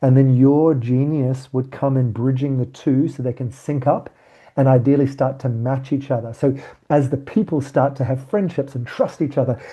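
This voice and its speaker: This man's voice sits at a medium pitch and sounds somewhat breathy. His intonation stays fairly even. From South Africa. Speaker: workshop facilitator. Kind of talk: online training session.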